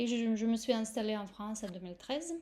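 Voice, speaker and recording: On a very clean recording with a silent background, a woman speaks with ordinary pitch variation. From Russia. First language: Russian (speaking French). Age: 40s. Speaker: yoga teacher. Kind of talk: course presentation. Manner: hesitant, many fillers.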